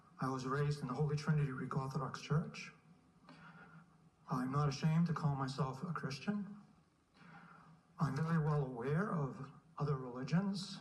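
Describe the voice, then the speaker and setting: A man's somewhat breathy, fairly high voice with an American accent, at a moderate pace with ordinary pitch variation, long, frequent pauses and audible room echo. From Lowell, Massachusetts (New England). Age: 60s. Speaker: public commenter at city council. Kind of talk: public comment speech. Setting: city council meeting. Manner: formal.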